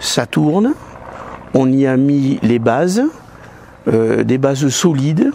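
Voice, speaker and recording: Very slowly, a man speaks at a medium pitch for a man with ordinary pitch variation, and noticeable background noise can be heard. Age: 60s. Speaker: judo club volunteer. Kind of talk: interview testimony. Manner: halting.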